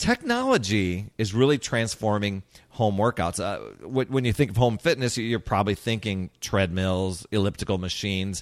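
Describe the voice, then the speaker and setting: A plain, everyday voice from a man, fairly low in pitch with ordinary pitch variation, at a moderate pace with hardly any pauses, dry and close with no echo on a very clean recording with a silent background. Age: 50s. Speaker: fitness podcast host. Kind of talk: solo podcast monologue. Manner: casual, with frequent fillers and repetitions.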